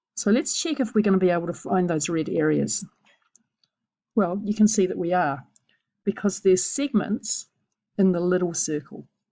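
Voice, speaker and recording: A woman speaks at a moderate pace and medium pitch, her dark, mellow tone touched with vocal fry and ordinary pitch variation. She leaves long, frequent pauses, and the background is quiet. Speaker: maths teacher. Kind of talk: tutorial.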